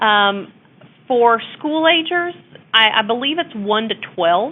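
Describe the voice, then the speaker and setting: A woman with a Texas accent speaks with lively intonation. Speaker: abuse prevention consultant. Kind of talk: webinar presentation. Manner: casual, hesitant with fillers.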